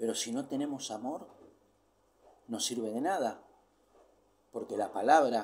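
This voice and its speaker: A man with a medium-pitched voice speaks at a fairly slow pace, with ordinary pitch variation. Long, frequent pauses break up his words, and audible room echo surrounds them. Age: 60s. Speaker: preacher. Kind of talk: sermon.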